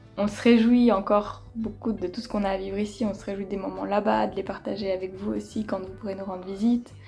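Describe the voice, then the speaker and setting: Background music under a woman talking at a moderate pace. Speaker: vlogger. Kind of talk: casual vlog talk to camera. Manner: hesitant, many fillers.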